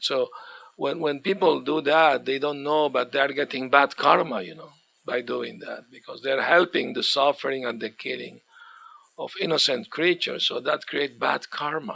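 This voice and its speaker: A man with a non-native accent speaks at a moderate pace and fairly high pitch, his tone bright and sharp with vocal fry. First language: not English. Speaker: spiritual teacher. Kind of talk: religious lecture. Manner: halting.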